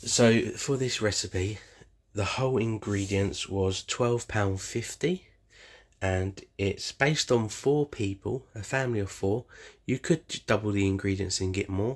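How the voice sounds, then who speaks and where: Speaking at a fairly slow pace, a man with a fairly low, somewhat breathy voice shows ordinary pitch variation against a quiet background. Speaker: home cook vlogger. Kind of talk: casual vlog chat. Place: kitchen. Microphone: phone near.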